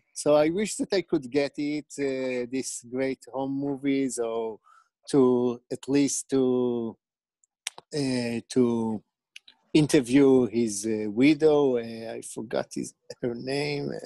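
Against a quiet background with dry sound and no echo, a man speaks very slowly in a dark, mellow tone with fairly even intonation. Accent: Israeli. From Israel. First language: Hebrew. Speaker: documentary director. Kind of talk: casual interview. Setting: video call. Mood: friendly, smiling. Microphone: earbuds.

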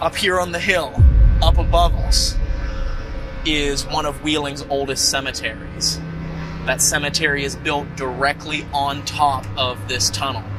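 A man talks fairly slowly while music plays behind him. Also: ordinary pitch variation. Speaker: paranormal show host. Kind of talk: on-location presentation. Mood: animated storytelling. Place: open country. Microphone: lapel.

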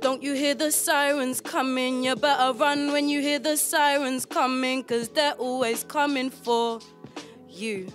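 A high-pitched woman's voice at a fairly slow pace, ordinary pitch variation, faint music in the background. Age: 20s. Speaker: spoken word poet. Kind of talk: spoken word poetry performance. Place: studio. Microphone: studio mic.

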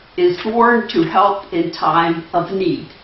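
Here a woman's pitch swings very widely. Audible room echo surrounds her voice. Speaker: church member introducing the speaker. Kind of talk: reading aloud. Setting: church. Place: church. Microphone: camera far.

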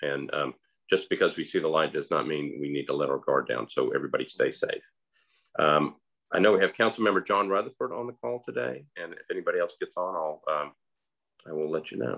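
A man delivers his words at a fairly quick pace. Behind him, things stay quiet. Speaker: host of community talk. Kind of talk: interview host remarks. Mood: earnest, cautionary. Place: home room. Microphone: video call.

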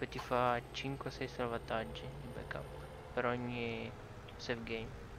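Amid noticeable background noise and audible room echo, a man speaks at a very slow pace with long, frequent pauses, medium pitch and lively intonation. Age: 20s. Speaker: gaming streamer. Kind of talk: casual chat.

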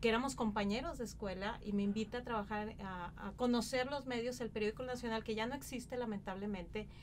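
A woman's very fast delivery with hardly any pauses and ordinary pitch variation, over light background noise. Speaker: television journalist, presenter, interview guest. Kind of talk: interview answer. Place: studio.

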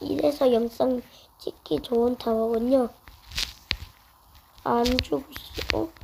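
A woman talks at a very slow pace with lively intonation. Her pitch is fairly high. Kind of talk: casual game commentary.

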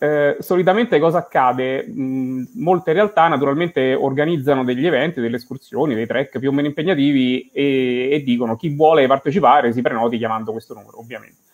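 A man with a Roman accent at a very fast pace and fairly high pitch, hardly any pauses, ordinary pitch variation, big swings in loudness, and a quiet background. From Rome, Italy; Italy. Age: 40s. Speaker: blind bank employee and hiker; guest. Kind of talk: interview. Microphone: video call.

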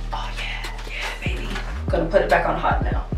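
A woman at a moderate pace, clear music in the background. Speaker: vlogger. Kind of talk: casual vlog chat. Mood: excited, reacting to heat. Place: home room.

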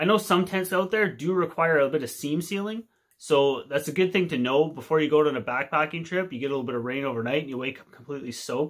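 A man with a Canadian accent talks at a very fast pace, his loudness swinging widely, against a quiet background. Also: fairly high pitch for a man, ordinary pitch variation. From Canada. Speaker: outdoor video creator. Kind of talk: casual tutorial to camera. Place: home room. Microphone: phone near.

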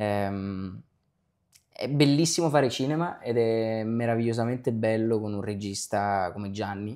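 A man speaks with a dark, mellow tone at a fairly slow pace. His pitch varies in an ordinary way over a quiet background. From Naples, Italy; Italy. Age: young. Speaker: actor. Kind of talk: interview. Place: home room. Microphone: lapel.

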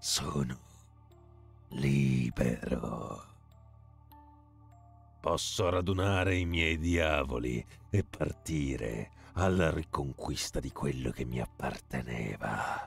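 Against clear background music, a put-on character voice with a menacing tone moves at a very slow pace, broken by long, frequent pauses. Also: man, very deep, low pitch for a man. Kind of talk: dramatic gamebook reading. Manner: gloating, menacing, archaic.

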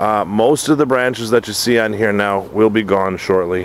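With an unremarkable speaking voice, a man talks at a moderate pace and a fairly low pitch with ordinary pitch variation, in a dry sound with no echo over light background noise. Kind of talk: casual tutorial. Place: garden. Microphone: phone near.

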